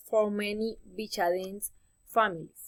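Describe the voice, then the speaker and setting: Ordinary pitch variation marks a woman's voice with a Spanish accent. Her pitch is fairly high. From Colombia. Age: 20s. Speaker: university student. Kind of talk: class presentation. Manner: halting, self-correcting.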